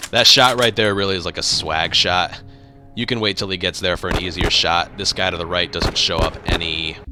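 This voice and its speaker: Very deep, low male speech at a fairly quick pace, with ordinary pitch variation and music in the background. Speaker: gaming streamer. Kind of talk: tutorial. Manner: slurred, sounds drunk.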